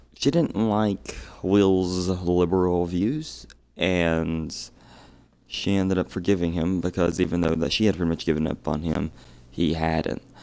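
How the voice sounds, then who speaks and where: A man speaks quietly with a very deep, low pitch and a dark, mellow tone. His pace is fairly slow and his pitch varies in an ordinary way. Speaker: gaming streamer. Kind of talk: let's play commentary. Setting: home at night, household asleep. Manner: quiet, subdued.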